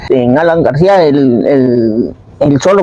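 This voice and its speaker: Very deep, low female voice over noticeable background noise. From northern Peru, Piura. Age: 70s. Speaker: interviewee, homemaker. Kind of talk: oral history testimony. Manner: halting, with fillers.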